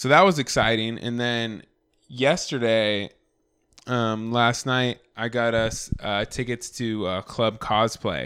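This man's voice is loud and sits at a medium pitch with ordinary pitch variation. He speaks at a very slow pace. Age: 30s. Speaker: podcast co-host. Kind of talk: casual chat. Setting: home recording. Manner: talkative.

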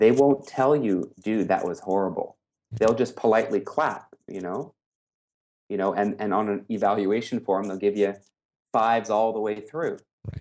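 A man talks in a normal speaking voice at a moderate pace, with fairly low pitch and ordinary pitch variation. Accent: Canadian. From Canada. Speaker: business coach and speaker. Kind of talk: interview. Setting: video call.

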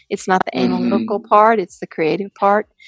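A woman with a Southern US accent is heard in a dry, close sound with no echo. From US South, Mississippi. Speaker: tech company founder and CEO. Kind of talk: interview.

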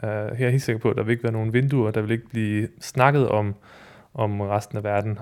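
A man at medium pitch and moderate pace, an ordinary speaking voice with fairly even intonation, on a very clean recording with a silent background. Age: 30s. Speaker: freelance musician and writer. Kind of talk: interview testimony.

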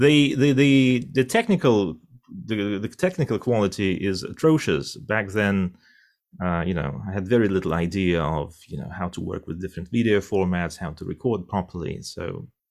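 A man's fairly low voice in a Russian accent, with lively intonation and a moderate pace on a very clean recording with a silent background. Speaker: interpreter and professor. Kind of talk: interview. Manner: halting.

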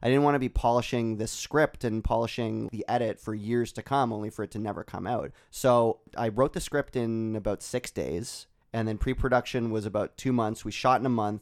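This man has a plain, everyday voice at a medium pitch for a man, speaking at a moderate pace with fairly even intonation and hardly any pauses over a very clean recording with a silent background. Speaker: filmmaker. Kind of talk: casual chat.

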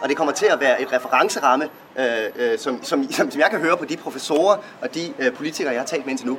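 With lively intonation, a man rattles along very fast as noticeable background noise carries on. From Viborg, Denmark. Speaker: author. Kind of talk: speech at a book launch.

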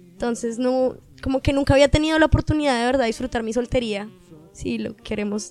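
Words pour out at a very fast pace with ordinary pitch variation. Noticeable background noise runs underneath. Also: woman, high pitch for a woman. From Colombia, Caribbean coast. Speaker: podcast guest. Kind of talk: casual chat.

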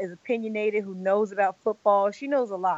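Speaking at a moderate pace in a normal speaking voice, a woman with an American accent has a medium pitch and ordinary pitch variation. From Los Angeles, US West Coast. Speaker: podcaster and football wife, sports media personality. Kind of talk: casual interview.

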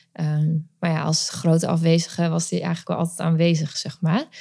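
On a very clean recording with a silent background, a woman talks at a moderate pace in a normal speaking voice with a fairly low pitch. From Netherlands, later Friesland. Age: 30s. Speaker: mother coach. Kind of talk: interview testimony.

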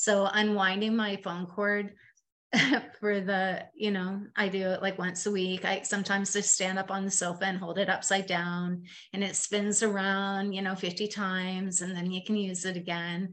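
A woman talks at a moderate pace in a Canadian accent. Her intonation stays monotone and flat. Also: medium pitch for a woman. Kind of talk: casual chat. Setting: video call.

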